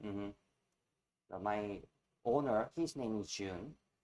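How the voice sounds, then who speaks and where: A man's pitch varies an ordinary amount as he talks at a moderate pace. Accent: Korean. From South Korea. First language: Korean. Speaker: barista and coffee trainer. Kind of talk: tutorial. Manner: halting.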